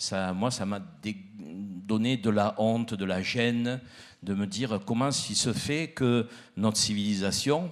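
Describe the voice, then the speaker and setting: Speaking very slowly, a man with a fairly low voice and ordinary pitch variation comes through on a very clean recording with a silent background. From southern France, Provence (Arles area). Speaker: miller and baker, panelist. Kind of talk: panel discussion.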